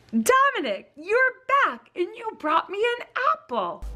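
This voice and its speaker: With faint music in the background, a woman uses a put-on character voice at an extremely high pitch, speaking fairly slowly. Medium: read story. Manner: warm, affectionate.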